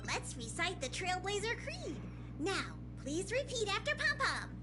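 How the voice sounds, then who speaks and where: Someone performs a put-on character voice over loud background music. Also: moderate pace. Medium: game stream. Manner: officious, earnest.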